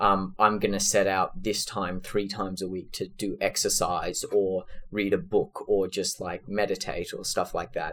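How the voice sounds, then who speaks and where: A man speaks with an Australian accent. The recording is very clean, and the background is silent. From Australia, Sydney. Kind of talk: interview.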